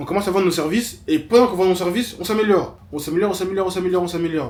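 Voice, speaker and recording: Noticeable background noise sits behind a man who talks very fast in a high pitch, with ordinary pitch variation. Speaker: web developer and vlogger. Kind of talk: vlog monologue.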